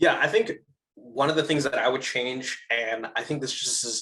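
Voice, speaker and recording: With a fairly high pitch, a man uses a plain, everyday voice at a moderate pace. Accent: American. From US East Coast. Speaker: solutions architect. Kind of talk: interview debrief.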